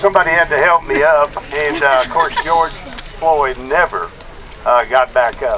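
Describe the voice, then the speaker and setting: Over noticeable background noise, a man with an American accent speaks at a moderate pace, his fairly high pitch showing ordinary variation. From Texas. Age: 70s. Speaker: protest speaker. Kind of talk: public speech at a rally.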